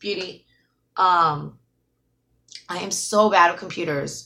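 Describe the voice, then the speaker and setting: A bright, sharp tone with ordinary pitch variation comes through on a very clean recording with a silent background. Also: woman. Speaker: YouTuber doing live streams. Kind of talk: casual live-stream chat. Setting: live stream. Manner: mumbling.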